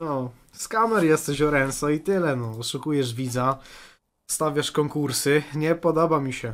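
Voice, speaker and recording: A man's rather unhurried delivery, with the usual amount of pitch variation. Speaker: streamer reacting to videos. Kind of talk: commentary. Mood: mocking, amused. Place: home room. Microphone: studio mic.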